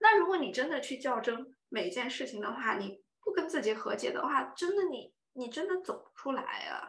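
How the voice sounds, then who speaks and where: A woman's high voice at a fairly quick pace, with very wide pitch swings, big swings in loudness and audible room echo. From China, Yunnan (Dali). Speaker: career and relationship blogger. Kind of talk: casual chat.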